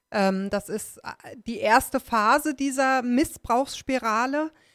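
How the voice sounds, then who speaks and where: In a very clean recording with a silent background and a dry, close sound with no echo, a woman talks very slowly at a fairly high pitch. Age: 30s. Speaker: survivor of domestic abuse. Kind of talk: interview about personal experience. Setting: studio.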